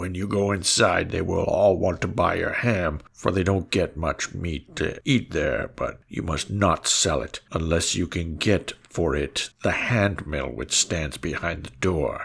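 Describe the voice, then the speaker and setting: A man puts on a raspy character voice with a very deep, low pitch. He talks at a fairly slow pace. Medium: read story. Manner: calm, advising.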